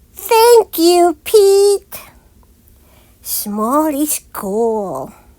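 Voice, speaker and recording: Doing a put-on character voice, a woman squeaks at an extremely high pitch with very wide pitch swings. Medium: read story.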